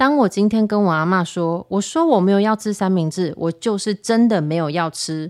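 Hardly pausing, a woman at medium pitch speaks with lively intonation in a very clean recording with a silent background, the sound dry and close with no echo. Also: moderate pace. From Taiwan. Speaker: podcast host. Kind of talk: casual monologue. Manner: animated.

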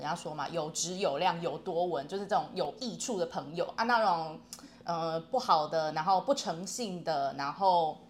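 At a moderate pace, a woman speaks in a plain, everyday voice with fairly low pitch and ordinary pitch variation. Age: 30s. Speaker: self-employed online language tutor. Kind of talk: casual chat.

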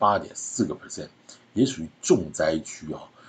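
A man speaks in a somewhat breathy voice with a very deep, low pitch. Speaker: real estate podcast host. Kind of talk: solo podcast commentary. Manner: chatty, conversational with filler particles.

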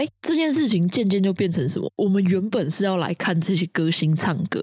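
A woman talks in a normal speaking voice at medium pitch and a moderate pace. The sound is dry and close, with no echo. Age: young. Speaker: podcast co-host. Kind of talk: casual chat.

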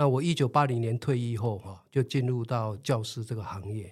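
At a moderate pace, a man talks in an ordinary speaking voice at a medium pitch. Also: very clean recording, silent background. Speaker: retired PE teacher. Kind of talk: interview. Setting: studio.

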